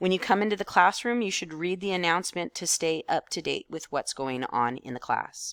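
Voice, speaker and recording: Recorded very cleanly over a silent background with a dry, close sound and no echo, a woman with a normal speaking voice and fairly low pitch talks at a fairly quick pace with lively intonation and hardly any pauses. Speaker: teacher. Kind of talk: tutorial.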